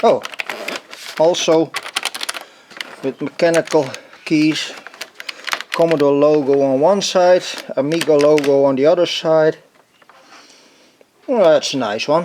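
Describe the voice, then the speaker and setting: A man's fairly high voice with a non-native accent, ordinary pitch variation, a fairly slow pace, and noticeable background noise. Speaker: retro computer collector. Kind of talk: casual talk to camera. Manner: hesitant, musing.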